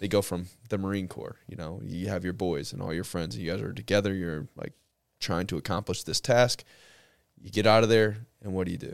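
On a very clean recording with a silent background, a man with an American accent talks at a fairly quick pace in a very deep, low pitch with ordinary pitch variation. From St. Louis, Missouri. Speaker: podcast host and police officer. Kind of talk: casual interview conversation. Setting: studio with podcast mics.

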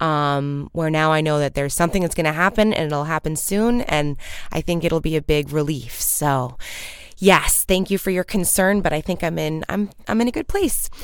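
Speaking in an American accent, a woman uses a very deep, low pitch with ordinary pitch variation at a moderate pace. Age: 30s. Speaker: podcast host. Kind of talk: casual solo monologue. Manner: chipper.

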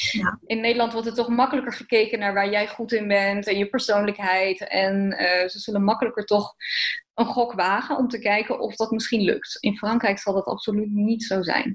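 A woman speaks at a fairly high pitch, somewhat breathy. Her intonation is monotone and flat. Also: moderate pace. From eastern Netherlands. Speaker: fashion designer. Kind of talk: interview.

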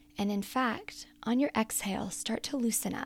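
The voice is somewhat breathy, with a soothing, warm tone. It moves at a fairly slow pace. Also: woman. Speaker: prayer guide and coach. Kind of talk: guided prayer and meditation. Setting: solo recorded podcast. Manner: slow, calm, gentle; soothing, inviting, warm.

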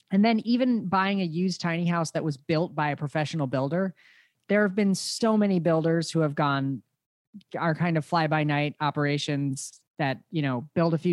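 An unremarkable speaking voice from a man with fairly high pitch, ordinary pitch variation and a moderate pace, recorded with a dry, close sound and no echo. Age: 30s. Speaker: podcast host, tiny house expert. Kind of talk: interview conversation.

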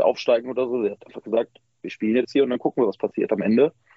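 A man is speaking. His pace is very fast. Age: 20s. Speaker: handball fan group member. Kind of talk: interview.

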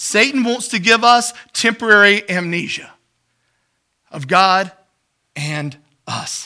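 Raised and projected, a man's high, bright, sharp voice moves at a very slow pace with long, frequent pauses, lively intonation and big swings in loudness. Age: 40s. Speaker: pastor. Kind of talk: sermon. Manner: halting.

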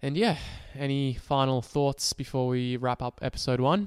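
A man with an Australian accent speaks at a medium pitch and moderate pace. His intonation is fairly even, and the sound is dry and close with no echo. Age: 20s. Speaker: podcast co-host, psychology student. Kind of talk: casual chat.

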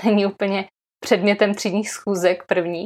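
Against a silent background on a very clean recording, a woman is heard. Her pitch is medium and her pace moderate. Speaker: primary school teacher and podcast host. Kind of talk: casual interview conversation.

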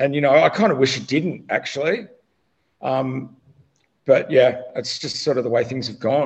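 With an Australian accent, a man at a fairly high pitch talks at a moderate pace, somewhat breathy, with ordinary pitch variation, long and frequent pauses, and big swings in loudness. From Australia, Melbourne area. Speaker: cannabis consultant. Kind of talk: casual chat.

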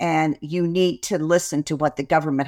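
This woman's pitch is very deep and low, and she has an American accent. She speaks at a moderate pace on a very clean recording with a silent background. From West Virginia, US. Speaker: author, coach and futurist. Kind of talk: interview conversation.

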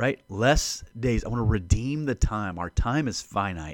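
A man with a normal speaking voice at medium pitch, lively intonation, and a very clean recording over a silent background. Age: 40s. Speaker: podcast host and Bible teacher. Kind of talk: solo Bible teaching podcast. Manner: casual, conversational.

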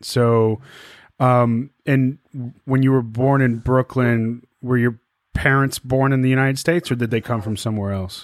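A man with an ordinary speaking voice talks at a moderate pace in a medium pitch with fairly even intonation. The recording is very clean, with a silent background. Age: 40s. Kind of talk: casual interview.

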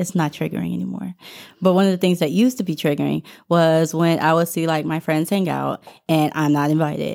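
A woman with a normal speaking voice talks at a fairly quick pace, her pitch fairly low and her intonation fairly even. The recording is very clean, with a silent background. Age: 20s. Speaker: podcast co-host. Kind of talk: casual chat.

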